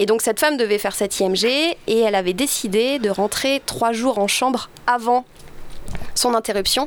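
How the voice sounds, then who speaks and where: A fairly high-pitched woman's voice with ordinary pitch variation over noticeable background noise. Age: young. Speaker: film director. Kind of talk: interview.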